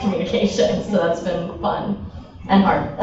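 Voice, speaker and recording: Through noticeable background noise and audible room echo, a woman talks at a moderate pace. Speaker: journalist. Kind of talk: panel discussion introduction. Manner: loud.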